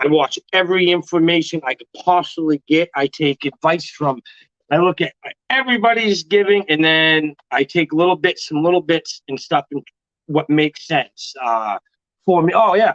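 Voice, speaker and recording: With a dry, close sound and no echo, a man speaks at a moderate pace, his pitch fairly high and ordinary in its variation. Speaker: ball python breeder hosting a livestream. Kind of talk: casual livestream chat. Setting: live stream. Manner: loud.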